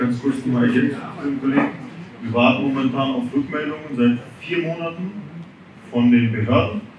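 With noticeable background noise and audible room echo, a man talks at a moderate pace with ordinary pitch variation and long, frequent pauses. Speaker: restaurant owner; restaurant owner in panel discussion. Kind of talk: audience contribution. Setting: audience with microphone. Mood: earnest, concerned. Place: bar.

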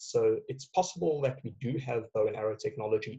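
Quiet background, a man at a moderate pace. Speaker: guest. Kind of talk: interview answer. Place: home room. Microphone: headset.

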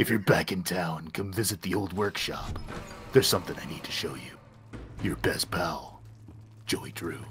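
Using a put-on character voice, a man growls raspily at a very deep, low pitch with long, frequent pauses over clear background noise. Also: moderate pace.

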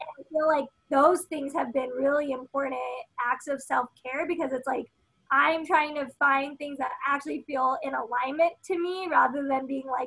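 Projecting her voice at a moderate pace, a woman with an American accent has a high pitch, a bright, sharp tone and fairly even intonation over a quiet background. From United States, Filipino American. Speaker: environmental activist and media host; media host. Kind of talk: casual chat. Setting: video call. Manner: casual, filler-heavy. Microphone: video call.

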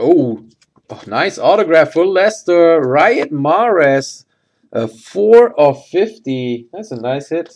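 A man talks at a slow pace with lively intonation. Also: slightly mellow tone.

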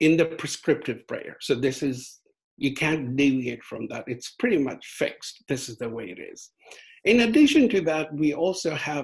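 Over a quiet background, the speaker talks at a moderate pace with lively intonation and big swings in loudness. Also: man. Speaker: guest lecturer. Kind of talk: lecture. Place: home room. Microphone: video call.

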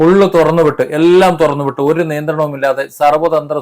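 With fairly even intonation, a man speaks in a plain, everyday voice. His pitch is fairly high. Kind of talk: opinion monologue to camera.

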